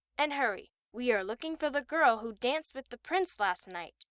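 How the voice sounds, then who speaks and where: In a put-on character voice, the speaker moves at a moderate pace with very wide pitch swings and big swings in loudness, recorded dry and close with no echo. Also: woman, high pitch for a woman. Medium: read story.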